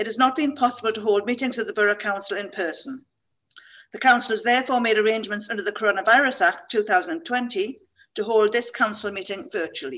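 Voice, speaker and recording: A fairly quick-paced woman's voice, its pitch varying in an ordinary way. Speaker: deputy mayor chairing meeting. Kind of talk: formal meeting opening statement. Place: home room. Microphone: video call.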